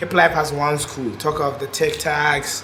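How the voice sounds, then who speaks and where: A man with a fairly high voice speaks over music in the background, with audible room echo. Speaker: rapper. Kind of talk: documentary interview.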